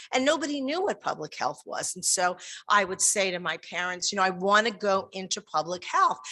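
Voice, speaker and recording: Her American accent and bright, sharp tone stand out as this woman speaks at a medium pitch and a moderate pace. Her intonation is lively, over a quiet background. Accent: New York, fading but still heavy. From New York. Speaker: public health dean. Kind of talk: welcome speech. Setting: in-person event with audience, live-streamed. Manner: animated.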